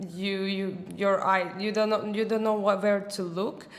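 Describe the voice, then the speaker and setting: Audible room echo follows a woman who speaks at a fairly slow pace in a monotone, flat intonation. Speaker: marketing manager. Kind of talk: casual discussion. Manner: halting.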